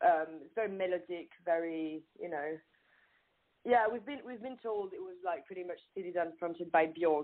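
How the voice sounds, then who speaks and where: A woman with a French accent speaks at a fairly low pitch with ordinary pitch variation. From France. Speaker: singer. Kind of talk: casual chat. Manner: halting.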